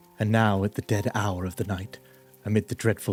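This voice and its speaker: With music in the background, a man speaks in a fairly low, calm, soothing tone with fairly even intonation. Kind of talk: sleep story narration.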